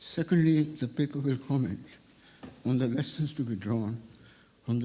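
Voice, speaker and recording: This man has a medium-pitched, dark and mellow voice that is somewhat breathy, with ordinary pitch variation. He talks at a moderate pace, and some room echo can be heard. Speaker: economics professor. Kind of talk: reading a prepared lecture.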